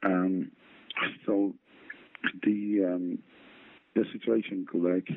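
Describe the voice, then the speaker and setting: With a very deep, low pitch, a man speaks at a very slow pace in fairly even intonation, leaving long, frequent pauses. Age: 40s. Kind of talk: interview. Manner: halting.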